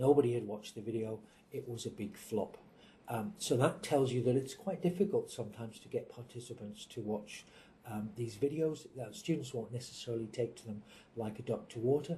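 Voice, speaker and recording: A man talks at a fairly quick pace in an English accent, with a medium pitch and ordinary pitch variation. His voice is somewhat breathy with a dark, mellow tone and big swings in loudness. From England. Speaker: university executive. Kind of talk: interview answers. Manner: hesitant, many fillers and repeats.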